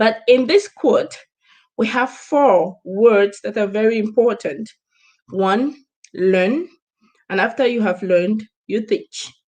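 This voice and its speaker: A woman's fairly high voice at a very slow pace, with ordinary pitch variation and long, frequent pauses. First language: not English. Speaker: business coach. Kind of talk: live stream talk. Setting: live stream.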